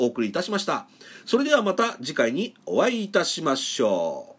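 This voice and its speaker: Speaking at a fairly quick pace, a man sends his pitch through very wide swings. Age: 50s. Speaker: podcaster. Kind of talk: solo talk. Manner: frequent filler words; polite formal.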